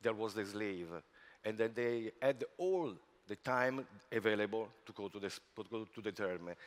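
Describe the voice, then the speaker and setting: In an Italian accent, a man speaks at a moderate pace and a fairly low pitch with ordinary pitch variation. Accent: non-native English, Italian. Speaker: spa industry executive. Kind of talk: conference talk. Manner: halting, many fillers.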